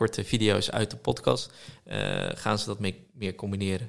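A man's fairly low voice with vocal fry, at a fairly slow pace, in a very clean recording with a silent background. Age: 20s. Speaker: social media entrepreneur. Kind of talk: casual chat.

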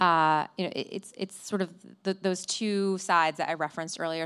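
A woman with a Midwestern accent talks at a medium pitch with fairly even intonation. The recording is very clean, with a silent background. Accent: American Midwest. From US Midwest, Flint, Michigan. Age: 30s. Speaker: tech company CEO. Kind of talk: live interview on stage. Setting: stage with audience. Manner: hesitant, many fillers and repetitions.

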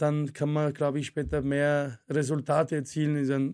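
Against a quiet background, a man with an Arabic accent speaks at fairly high pitch and a fairly slow pace. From Syria, moved to Vienna at 12. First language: Arabic (speaking German). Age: 40s. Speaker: former Thai boxing champion, martial arts coach. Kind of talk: casual interview. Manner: hesitant, many fillers.

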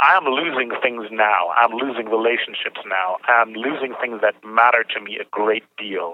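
An unremarkable speaking voice at a fairly slow pace, with ordinary pitch variation and hardly any pauses. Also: man, medium pitch for a man. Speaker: prison inmate. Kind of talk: phone interview.

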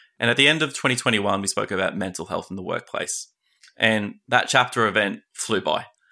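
Someone with an Australian accent talks very fast in a bright, sharp tone with ordinary pitch variation, on a very clean recording against a silent background. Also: man. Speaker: podcast host. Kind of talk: interview.

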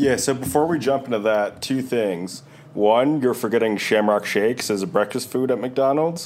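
An unremarkable speaking voice belongs to a man with an American accent who talks at a moderate pace and medium pitch with ordinary pitch variation. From New York. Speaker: basketball scout and podcast co-host. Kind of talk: casual chat.

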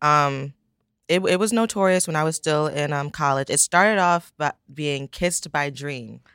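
A woman's very deep, low voice with an American accent, ordinary pitch variation and a moderate pace, dry and close with no echo, in a very clean recording with a silent background. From Pennsylvania, Poconos. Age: 20s. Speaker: fashion entrepreneur. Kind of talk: interview.

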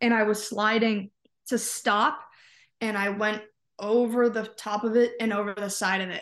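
A woman has an ordinary speaking voice at a fairly high pitch. She talks at a moderate pace with fairly even intonation against a quiet background. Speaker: college tennis player. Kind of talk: casual interview. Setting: remote call from home.

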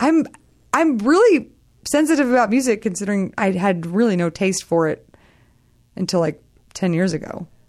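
A woman with an American accent, medium pitch, very wide pitch swings, a moderate pace and long, frequent pauses. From Texas. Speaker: comedian and podcast co-host. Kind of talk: casual chat.

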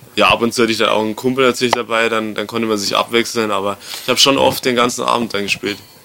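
Over noticeable background noise, a man at medium pitch talks at a very fast pace in a monotone, flat intonation. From Bavaria, rural area near Erding. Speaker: DJ and music producer. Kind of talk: casual interview. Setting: hotel lobby.

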